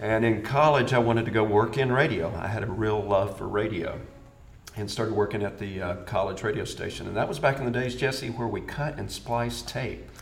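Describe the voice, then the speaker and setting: At a fairly quick pace, a man with a fairly low pitch and ordinary pitch variation speaks through noticeable background noise and audible room echo. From US South, Birmingham, Alabama. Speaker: location sound mixer. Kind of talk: interview.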